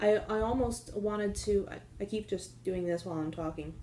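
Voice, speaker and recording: Soft-spoken, a woman talks at medium pitch in a dark, mellow tone. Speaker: knitting podcaster. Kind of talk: casual chat. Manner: hesitant, many fillers.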